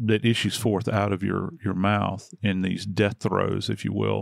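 A plain, everyday voice from a man, fairly low in pitch with fairly even intonation, in a dry, close sound with no echo. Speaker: true crime podcast host. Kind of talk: casual true crime discussion. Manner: conversational, warm.

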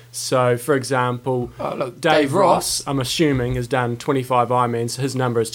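This man speaks with a New Zealand accent. Background noise is noticeable behind him. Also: medium pitch for a man, fairly even intonation, moderate pace. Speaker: podcast co-host, coach.

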